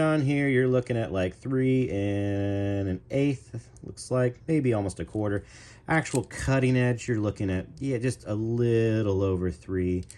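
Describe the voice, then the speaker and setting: Against a quiet background, a speaker with an American accent talks at a very slow pace in a dark, mellow tone. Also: man. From US Midwest. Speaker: knife reviewer. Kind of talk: product review. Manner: casual, chatty.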